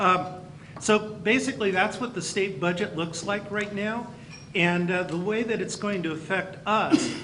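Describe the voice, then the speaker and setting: Over noticeable background noise and audible room echo, a man with a high pitch uses a raised, projected voice at a moderate pace with ordinary pitch variation. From California (near Campbell). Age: 60s. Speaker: county school superintendent. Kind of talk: speech to luncheon audience. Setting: banquet luncheon.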